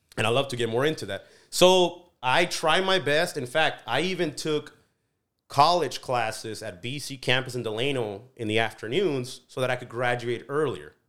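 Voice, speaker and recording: A man's medium-pitched voice with lively intonation at a moderate pace, on a very clean recording with a silent background. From Mexico (Colima), raised in California's Central Valley from age 11. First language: Spanish. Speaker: business consultant and CEO. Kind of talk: casual interview.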